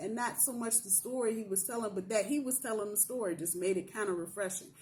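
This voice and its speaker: A somewhat breathy woman speaks at a fairly quick pace. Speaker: tarot reader. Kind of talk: tarot reading. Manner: casual.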